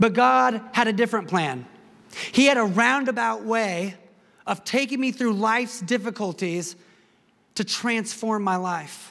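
With long, frequent pauses, a man speaks fairly slowly in a high pitch, his bright, sharp tone carrying lively intonation. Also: very clean recording, silent background. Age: 40s. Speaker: pastor. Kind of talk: sermon.

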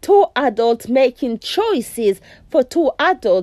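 At a slow pace, a woman speaks in a fairly high voice with lively intonation.

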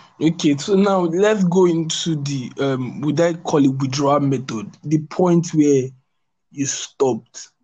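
A man with a fairly high pitch talks at a fairly slow pace in a dark, mellow, somewhat breathy tone, with ordinary pitch variation. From Nigeria. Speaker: podcast host. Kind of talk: podcast interview.

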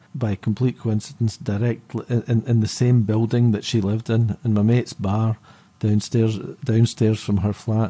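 This man has a dark, mellow tone and a somewhat breathy medium pitch. His intonation stays monotone and flat at a moderate pace. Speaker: musician. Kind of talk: casual interview chat.

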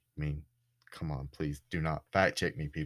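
A man's bright, sharp voice in a Southern US accent, on a very clean recording with a silent background. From US South, Florida Panhandle. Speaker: podcast host. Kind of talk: casual storytelling monologue.

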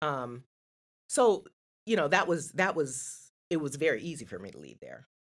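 A moderate pace broken by long, frequent pauses. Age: 50s. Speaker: podcast guest. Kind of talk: casual chat.

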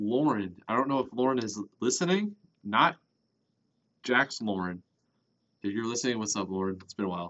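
A man at a moderate pace and medium pitch, ordinary pitch variation, with long, frequent pauses. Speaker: podcast co-host. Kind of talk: casual chat. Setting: basement room. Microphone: muffled by face mask.

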